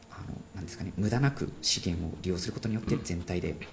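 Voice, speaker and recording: Noticeable background noise runs under this recording. A man with a very deep, low voice speaks with ordinary pitch variation. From Japan, Sendai. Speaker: forest ecology PhD researcher. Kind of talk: interview explaining research.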